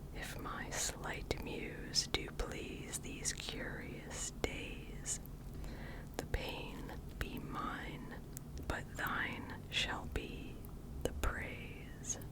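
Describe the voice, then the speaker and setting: Someone whispers at a very slow pace with an American accent, over noticeable background noise. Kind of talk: whispered ASMR poetry reading. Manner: whispered, soft-spoken.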